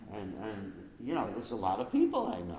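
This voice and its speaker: The speech comes at a fairly quick pace. Audible room echo surrounds it. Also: man. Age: 70s. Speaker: spiritual teacher. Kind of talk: question and answer session. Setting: live stream. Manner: conversational, many fillers.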